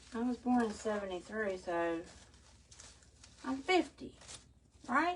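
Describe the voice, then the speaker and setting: A woman with a Southern US accent speaks at a fairly high pitch with very wide pitch swings. Her pace is fairly slow, with long, frequent pauses. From US South. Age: 50s. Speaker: crafter. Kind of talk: live stream crafting chat. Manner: chatty.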